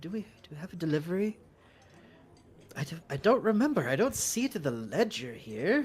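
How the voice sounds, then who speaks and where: Someone mumbles in a put-on character voice of middle pitch, swinging very widely up and down. The pace is fairly quick, broken by long, frequent pauses. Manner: mumbling, uncertain.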